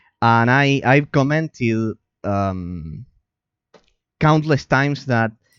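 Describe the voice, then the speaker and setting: A man at a very slow pace with ordinary pitch variation, music in the background. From Argentina. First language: Spanish. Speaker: game streamer and analyst. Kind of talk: live stream chat reading and responding to viewer. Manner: halting, many repetitions and fillers.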